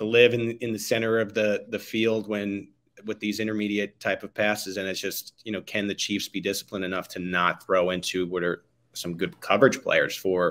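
A man speaks at a moderate pace in a normal speaking voice, his pitch fairly low. His intonation stays fairly even. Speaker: guest. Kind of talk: interview answer. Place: kitchen.

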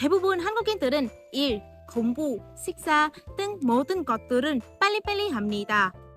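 With music in the background, a woman speaks at a fairly slow pace, her pitch swinging very widely. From Vietnam (Hanoi). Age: 20s. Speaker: university student of Korean. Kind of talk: speech contest presentation.

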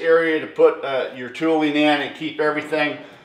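The recording carries audible room echo. The pace is moderate. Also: man. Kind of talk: casual vlog chat. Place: garage. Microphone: camera far.

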